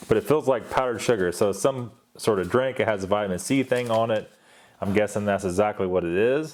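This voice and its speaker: A man speaks at a fairly low pitch in a plain, everyday voice. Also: ordinary pitch variation, fairly quick pace. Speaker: ration reviewer. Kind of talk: unboxing review. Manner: casual, conversational.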